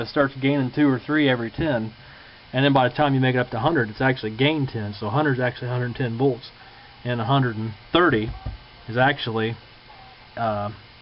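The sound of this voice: A man talks at a fairly quick pace, his pitch medium and his intonation fairly even.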